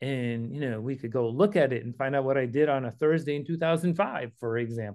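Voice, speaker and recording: An unremarkable speaking voice from a man, pitched fairly high, its pitch varying in an ordinary way. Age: 60s. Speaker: ultra-endurance athlete and business executive. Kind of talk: casual chat.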